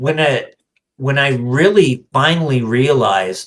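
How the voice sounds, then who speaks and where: At a very slow pace, a man speaks with lively intonation and a medium pitch. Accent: American. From East Texas. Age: 50s. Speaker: voice actor. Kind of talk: podcast interview. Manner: animated.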